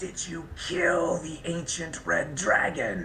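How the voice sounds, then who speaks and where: A man's put-on character voice, growling and high-pitched, at a very slow pace over clear background noise. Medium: actual play. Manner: demanding, interrogating.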